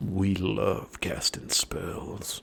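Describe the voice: This is a put-on character voice. It sounds raspy and gravelly.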